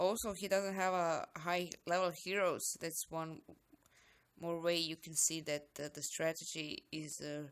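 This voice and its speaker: In a very clean recording with a silent background, a woman with a non-native accent speaks fairly slowly at a fairly low pitch, her intonation fairly even but her loudness swinging widely. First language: not English. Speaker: gaming YouTuber. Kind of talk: game commentary.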